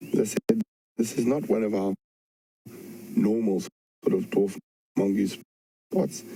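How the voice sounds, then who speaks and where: Soft-spoken and fairly slow, the voice comes through with a dry, close sound and no echo. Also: man. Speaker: safari guide. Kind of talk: live wildlife commentary. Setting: outdoors.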